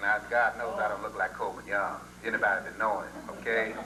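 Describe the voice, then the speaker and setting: Audible room echo fills the recording, along with noticeable background noise. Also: man. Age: 60s. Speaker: retired singer speaking at a homecoming. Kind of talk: storytelling to a gathering. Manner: conversational, many fillers.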